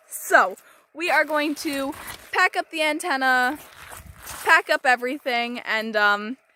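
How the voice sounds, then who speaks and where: A woman's raised, projected voice, high in pitch with lively intonation, at a fairly slow pace with long, frequent pauses, in a dry, close sound with no echo. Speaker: amateur radio operator. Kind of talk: casual vlog narration.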